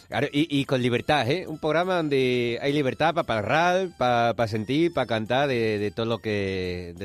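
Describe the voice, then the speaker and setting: A plain, everyday voice at a moderate pace with lively intonation. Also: man, medium pitch for a man. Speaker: radio host. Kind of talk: casual radio chat.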